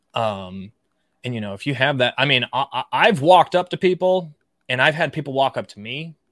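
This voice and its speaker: Here a man with an ordinary speaking voice and a fairly high pitch talks at a moderate pace with lively intonation and big swings in loudness. The recording is very clean with a silent background and a dry, close sound with no echo. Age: 30s. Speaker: offensive cybersecurity expert and author. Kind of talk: casual interview chat. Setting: live stream.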